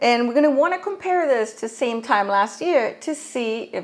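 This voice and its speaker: A woman's voice rises and falls with very wide pitch swings. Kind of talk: explainer talk to camera. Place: home room. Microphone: lapel.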